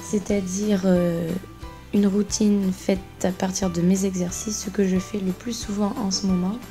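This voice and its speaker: Fairly slow speech from a woman at a medium pitch, with fairly even intonation and music in the background. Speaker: contortionist. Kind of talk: voice-over exercise tutorial. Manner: casual, chatty.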